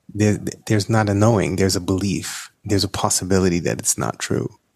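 An unremarkable speaking voice belongs to a man with an American accent who speaks at a moderate pace and a fairly low pitch. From New York. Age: 50s. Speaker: nurse and psychedelic coach. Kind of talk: interview conversation.

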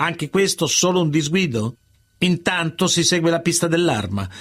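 The man's voice sits high in pitch. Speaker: narrator. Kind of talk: true-crime narration. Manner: measured, serious, dramatic storytelling.

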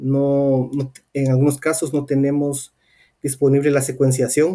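With a Guatemalan accent, a man speaks at a fairly high pitch in a dark, mellow tone. His pace is fairly slow. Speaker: swine veterinarian and researcher. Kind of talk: interview.

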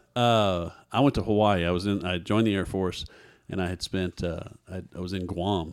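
A man with an American accent talks in a very deep, low register, recorded very cleanly against total silence. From Texas. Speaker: guest telling life story. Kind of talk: testimony.

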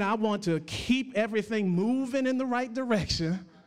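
Audible room echo surrounds a man whose voice is high in pitch. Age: 40s. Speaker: pastor. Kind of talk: sermon.

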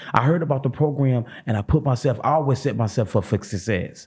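Somewhat breathy and animated, a man with an American accent races along at a very fast pace, his medium pitch carrying lively intonation. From St. Louis, Missouri. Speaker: comedian. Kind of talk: casual chat.

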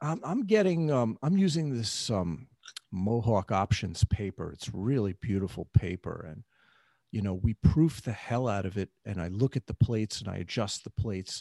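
A man with an American accent, fairly low in pitch, dark and mellow in tone, lively in intonation, at a moderate pace with big swings in loudness, recorded dry and close with no echo against a quiet background. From New York City. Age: 50s. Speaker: spiritual teacher. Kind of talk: interview. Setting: video call.

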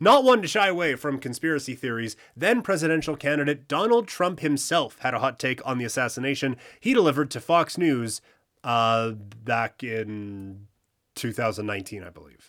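A man with a Canadian accent and a normal speaking voice, medium in pitch, with lively intonation. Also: moderate pace, very clean recording, silent background. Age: 30s. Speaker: podcast co-host. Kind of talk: casual chat with scripted reading.

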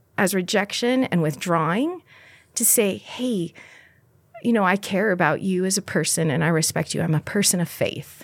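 Recorded very cleanly against a silent background, a woman with an American accent and an unremarkable speaking voice talks at a moderate pace with lively intonation. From US Pacific Northwest and Mexico. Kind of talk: interview conversation.

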